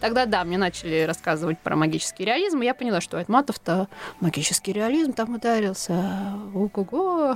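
Noticeable background noise sits behind a woman with a medium pitch. She talks at a fairly quick pace with lively intonation. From central Russia, Tula. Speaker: novelist. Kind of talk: interview. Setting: studio.

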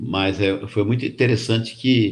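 Somewhat breathy, a man talks at a medium pitch. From Brazil, São Paulo state (Barretos region, then Jundiaí). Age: 70s. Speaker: retired cooperative executive and author. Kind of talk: casual interview. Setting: live stream.

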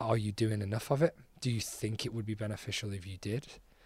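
A man at medium pitch with a Scouse accent, somewhat breathy, at a very fast pace, in a very clean recording with a silent background. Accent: Scouse (Liverpool) English. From Liverpool, England. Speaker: soccer coach and PE teacher. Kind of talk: interview. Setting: conference.

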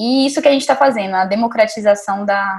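Somewhat breathy, a woman talks at a fairly quick pace and a medium pitch with ordinary variation. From Brazil, Montes Claros, Minas Gerais. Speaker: neuroradiologist. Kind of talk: casual interview.

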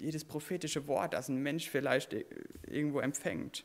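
With vocal fry in his fairly high voice, a man speaks at a moderate pace with fairly even intonation. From Westerwald, Germany. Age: 20s. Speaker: preacher, children's camp worker. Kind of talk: sermon.

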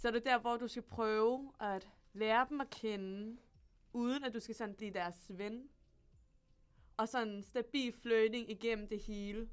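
Over music in the background, a fairly high-pitched woman speaks at a fairly slow pace with fairly even intonation and long, frequent pauses. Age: 20s. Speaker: university student. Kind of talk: casual chat. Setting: studio.

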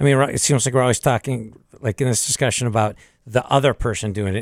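A man speaks at a fairly quick pace with fairly even intonation and a plain, everyday voice. The recording is very clean with a silent background, dry and close with no echo. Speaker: podcast host. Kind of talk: casual panel discussion.

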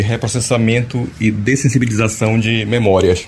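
Noticeable background noise runs under the recording. A man speaks at a moderate pace and a medium pitch. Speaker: radio reporter. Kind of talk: news reporting.

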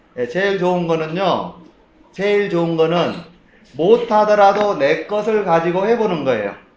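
A man's high-pitched voice at a fairly slow pace, ordinary pitch variation and audible room echo. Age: 50s. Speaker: Bible teacher. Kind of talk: lecture. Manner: halting, many fillers and repetitions.

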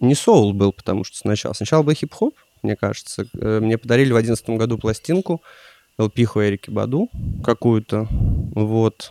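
A man with a dark, mellow tone talks at a moderate pace, leaving long, frequent pauses. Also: medium pitch for a man, ordinary pitch variation, dry, close sound with no echo. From Russia, Pskov. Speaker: soul DJ and record collector. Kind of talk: casual chat.

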